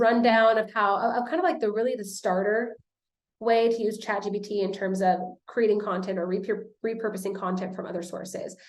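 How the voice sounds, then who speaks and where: A woman speaks at medium pitch with ordinary pitch variation. Room echo can be heard. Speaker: social media marketing coach. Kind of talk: webinar presentation. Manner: fast.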